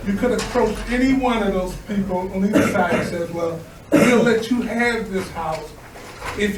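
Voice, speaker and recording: A man with an American accent speaks at a high pitch. There is audible room echo and noticeable background noise. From US Midwest, South Bend, Indiana. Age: 70s. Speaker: resident speaking at meeting. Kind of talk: public comment.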